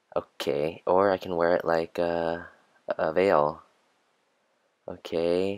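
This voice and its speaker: Against a quiet background, a man talks with a very deep, low pitch and fairly even intonation. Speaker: book vlogger. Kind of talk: comedic voiceover narration. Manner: joking, mocking. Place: home room. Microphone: phone near.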